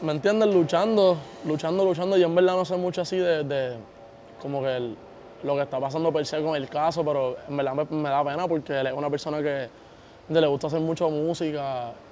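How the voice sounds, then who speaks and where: A man with a plain, everyday voice talks at a fairly quick pace, his fairly high pitch varying in an ordinary way. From Puerto Rico. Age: young. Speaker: reggaeton singer. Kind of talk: interview.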